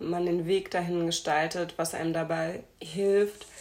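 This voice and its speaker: With music playing behind her, a woman talks in a fairly low pitch and a flat, monotone delivery. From Hamburg, northern Germany. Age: 20s. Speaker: podcast host and speech therapist. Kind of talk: casual interview.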